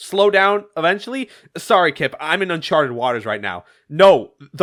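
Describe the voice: Lively intonation marks this plain reading aloud, set against a quiet background.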